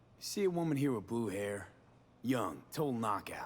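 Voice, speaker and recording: Someone uses a low-pitched, put-on character voice at a moderate pace. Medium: video game. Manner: blunt, terse.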